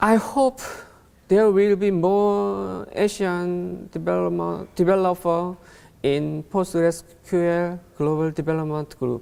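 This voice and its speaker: A man speaks very slowly with a Korean accent. His high-pitched voice has a dark, mellow tone. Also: ordinary pitch variation. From South Korea. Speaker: conference speaker. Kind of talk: conference talk. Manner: reading from script; halting.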